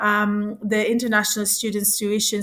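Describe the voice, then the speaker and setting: A woman with a non-native accent speaks at a medium pitch and a moderate pace. The recording is very clean, with a silent background. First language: not English. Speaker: presenter. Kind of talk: presentation. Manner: halting, with fillers and restarts.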